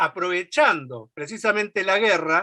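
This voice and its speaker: A man projects his voice with a bright, sharp tone. The sound is dry and close with no echo, over a quiet background. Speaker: left-wing political activist. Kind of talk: political speech at a meeting. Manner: fast.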